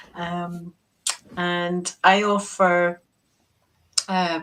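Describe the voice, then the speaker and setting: A woman with a Scottish accent speaks in a fairly low pitch. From Scotland, Peebles. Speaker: quantum healing practitioner. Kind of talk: casual chat.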